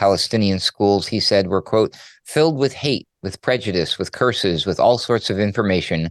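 In a plain, everyday voice, a man talks at a moderate pace in a fairly low pitch with ordinary pitch variation, recorded dry and close with no echo. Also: quiet background. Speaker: radio news producer. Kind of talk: news segment, commentary.

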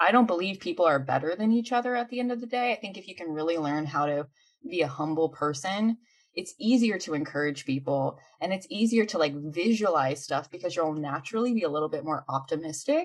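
A woman talks at a fairly quick pace in a fairly low pitch. Her tone is animated and energetic, with lively intonation. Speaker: mindset coach. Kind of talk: interview, conversational talk. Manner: animated, energetic.

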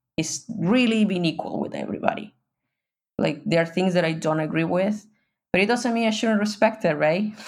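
Speaking with a Mexican accent, a woman keeps a moderate pace, very even loudness and ordinary pitch variation. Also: medium pitch for a woman. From Mexico. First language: Spanish. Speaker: guest living abroad. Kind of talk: casual interview. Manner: laughs often, hesitant with fillers.

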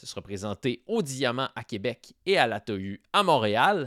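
His pitch swings very widely as the man speaks fairly slowly. The recording is very clean and dry, close with no echo and a silent background. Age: 30s. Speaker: podcast host. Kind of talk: scripted narration.

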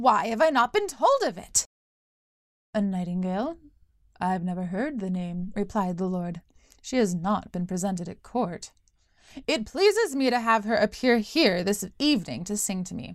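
Here a woman speaks in a plain, everyday voice at a medium pitch. She keeps a moderate pace with lively intonation. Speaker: storyteller and podcast host. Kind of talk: fairy-tale narration.

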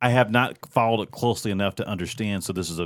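The man has an unremarkable speaking voice, fairly low in pitch, with ordinary pitch variation. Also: very clean recording, silent background. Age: middle-aged. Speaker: podcast co-host and moderator. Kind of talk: casual political roundtable chat. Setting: studio roundtable.

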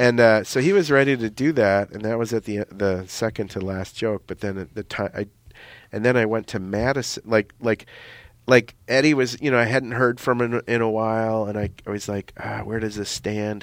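The sound is dry and close with no echo, in a very clean recording with a silent background. A man speaks at a medium pitch with fairly even intonation. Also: moderate pace. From Minnesota. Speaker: stand-up comedian. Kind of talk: casual interview. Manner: halting, many fillers and restarts.

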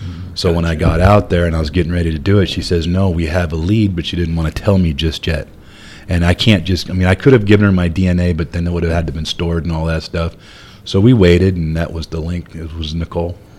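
Over noticeable background noise, a man with a very deep, low pitch talks at a very fast pace with fairly even intonation. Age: 50s. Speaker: truck driver. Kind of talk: casual chat.

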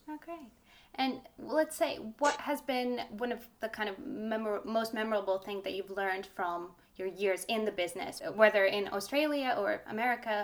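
A plain, everyday voice from a woman, fairly high in pitch, with lively intonation and a moderate pace. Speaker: podcast host. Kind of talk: interview conversation.

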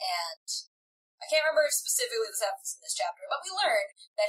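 Over a quiet background comes plain reading aloud.

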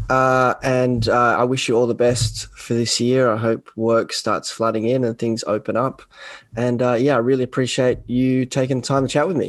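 In an Australian accent, a man talks at a moderate pace with a medium pitch and monotone, flat intonation. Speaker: podcast host. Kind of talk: casual interview chat. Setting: video call.

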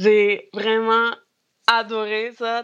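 This woman speaks at a very slow pace. Her pitch sits fairly high. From Peru. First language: Spanish (speaking French). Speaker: grocery store co-owner. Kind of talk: casual chat. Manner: halting.

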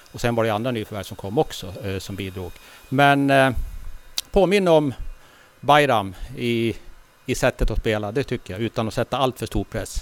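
This man's voice sits at a medium pitch with ordinary pitch variation. He keeps a moderate pace broken by long, frequent pauses. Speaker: football club volunteer official. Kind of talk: interview.

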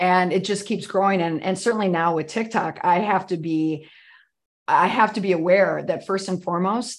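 A woman with an American accent has an ordinary speaking voice at a medium pitch, with fairly even intonation at a fairly quick pace. The recording is very clean with a silent background. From US Midwest. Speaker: PR crisis expert and podcaster. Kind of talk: casual interview chat.

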